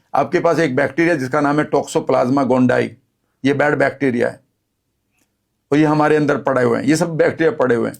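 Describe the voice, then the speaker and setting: This man's voice is fairly high, with vocal fry. He keeps a moderate pace and fairly even intonation. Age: 60s. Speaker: health and wellness speaker. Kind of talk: interview.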